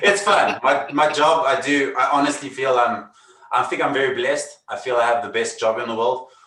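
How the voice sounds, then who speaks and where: Amid noticeable background noise, a man with a South African accent talks at a fairly high pitch with ordinary pitch variation. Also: moderate pace. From South Africa, Cape Town. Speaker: magician. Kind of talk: casual interview.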